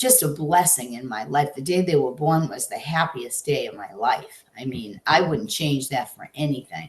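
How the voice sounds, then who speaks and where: Lively intonation and big swings in loudness mark this somewhat breathy voice, which keeps a moderate pace. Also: woman, very deep, low pitch for a woman. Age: 60s. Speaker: estranged mother and grandmother. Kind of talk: interview testimony. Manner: halting.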